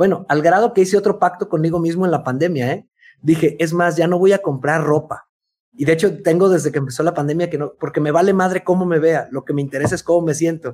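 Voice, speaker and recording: Speaking at a very fast pace with a Mexican accent, a man uses a high pitch and ordinary pitch variation. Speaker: podcast co-host, writer and speaker. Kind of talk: casual chat.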